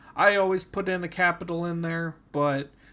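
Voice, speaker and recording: This man's voice is high in pitch and shows ordinary pitch variation. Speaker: college student. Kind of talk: tutorial. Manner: halting, many fillers.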